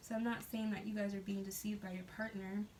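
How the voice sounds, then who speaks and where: Against noticeable background noise, a woman at medium pitch talks very fast in a monotone, flat intonation. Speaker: tarot card reader. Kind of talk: tarot reading monologue.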